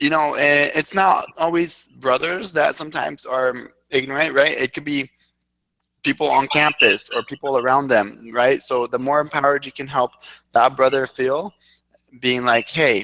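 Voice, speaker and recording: With a bright, sharp tone and fairly even intonation, a man of fairly high pitch is captured with a dry, close sound and no echo. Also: moderate pace. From Mexico City. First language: Spanish. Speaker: fraternity diversity team leader. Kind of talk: video call interview. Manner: halting.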